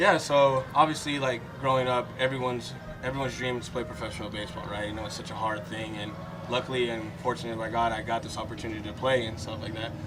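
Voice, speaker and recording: A man's medium-pitched, fairly even delivery at a very fast pace, with audible room echo and noticeable background noise. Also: big swings in loudness. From Florida, US (Fort Lauderdale), Puerto Rican-Dominican family. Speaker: professional baseball player. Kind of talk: casual interview.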